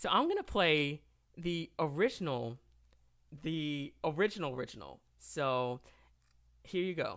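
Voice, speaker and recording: A man with a Southern US accent speaks in a fairly high voice with ordinary pitch variation. He talks at a fairly slow pace with long, frequent pauses. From US South, Tennessee. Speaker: singer and panel host. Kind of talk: online panel discussion. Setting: live stream.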